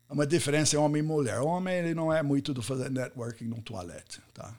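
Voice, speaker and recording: A man talks with an American accent. His pitch is fairly high, with ordinary pitch variation. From US, Pittsburgh. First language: English (speaking Portuguese). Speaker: business podcast host and networking speaker. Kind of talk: live online talk.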